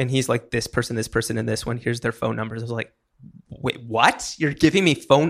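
This man talks at a fairly quick pace with an American accent, vocal fry and fairly even intonation. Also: very clean recording, silent background. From Pennsylvania (Hershey). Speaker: comedian and podcast host. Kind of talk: casual interview chat.

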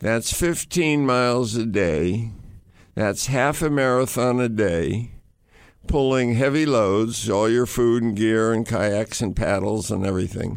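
Delivered at a fairly slow pace with very even loudness, this is a normal speaking voice with an American accent and ordinary pitch variation. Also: man, medium pitch for a man. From United States. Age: 60s. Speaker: adventurer and author. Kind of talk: storytelling interview. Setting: studio.

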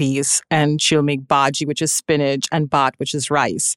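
This woman has a Trinidadian accent and talks at a moderate pace. The sound is dry and close with no echo, over a quiet background. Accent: Trinidadian Caribbean. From Trinidad and Tobago. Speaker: private chef. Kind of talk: casual chat.

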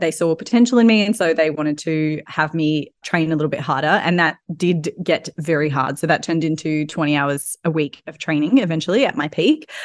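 Against a quiet background, a woman with an Australian accent and a very deep, low pitch speaks at a fairly quick pace with ordinary pitch variation and hardly any pauses. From Australia, Sydney. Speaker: personal trainer and yoga teacher. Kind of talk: casual interview chat.

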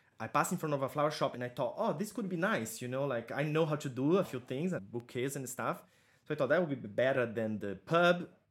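Speaking at a very fast pace with a Portuguese accent, a man uses lively intonation and a fairly high pitch. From southern Brazil. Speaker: florist and floristry teacher. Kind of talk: interview. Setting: video call.

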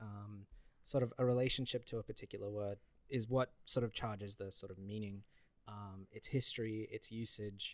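At a moderate pace, a man speaks in a flat monotone, his loudness swinging widely. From Balkans. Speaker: podcast co-host. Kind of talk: casual chat. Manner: halting.

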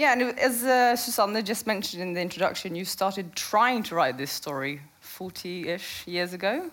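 With a Norwegian accent and a medium pitch, a woman talks at a moderate pace with lively intonation and hardly any pauses, and audible room echo surrounds her. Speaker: journalist and moderator. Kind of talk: on-stage interview. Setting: stage with audience.

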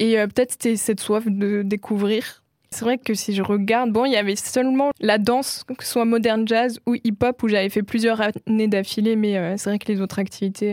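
A woman at a moderate pace with hardly any pauses, fairly high in pitch, monotone and flat, in a dry, close sound with no echo. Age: 20s. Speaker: singer and visual artist. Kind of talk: interview. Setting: studio. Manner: soft-spoken.

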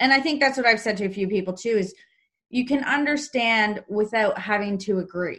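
A woman with an ordinary speaking voice talks at a fairly quick pace. Her pitch is fairly high with ordinary variation, against a quiet background. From Canada. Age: 30s. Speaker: podcast host. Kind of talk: casual interview.

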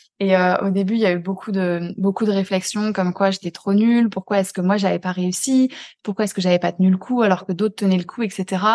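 At a fairly quick pace, a woman talks in a medium-pitched voice with a dark, mellow tone and monotone, flat intonation, the sound dry and close with no echo. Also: quiet background. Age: 20s. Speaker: neuroscience coach for highly sensitive people. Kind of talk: casual conversation interview.

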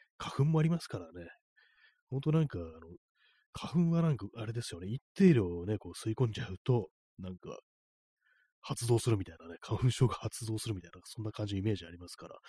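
A man speaks very fast at a medium pitch with very wide pitch swings, big jumps in loudness, and long, frequent pauses, his dark, mellow tone somewhat breathy in a dry, close sound with no echo. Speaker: livestream radio host. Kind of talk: casual solo talk reading listener comments. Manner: rambling, many fillers.

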